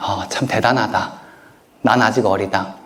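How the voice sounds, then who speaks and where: A man's voice carries audible room echo. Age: 30s. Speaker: author. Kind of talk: lecture Q&A.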